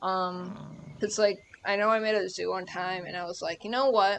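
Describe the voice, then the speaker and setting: A woman at a fairly slow pace, with monotone, flat intonation. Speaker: gaming video creator. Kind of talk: gameplay commentary. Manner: casual, filler-heavy.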